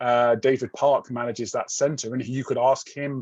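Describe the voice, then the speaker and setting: Against a quiet background, a man talks at a moderate pace and a medium pitch, the sound dry and close with no echo. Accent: British. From Britain. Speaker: university research professor. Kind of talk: Q&A after a presentation. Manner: hesitant, with many fillers and restarts.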